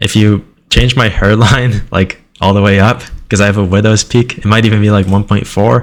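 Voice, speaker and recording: A man with an ordinary speaking voice talks at a moderate pace, his pitch fairly low and his loudness very even. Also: fairly even intonation. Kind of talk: casual screen-recording commentary.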